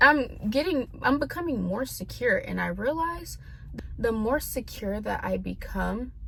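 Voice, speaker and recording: A woman with an American accent speaks at a fairly slow pace over noticeable background noise. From California and Tennessee, US. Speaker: vlogger. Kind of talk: casual vent vlog.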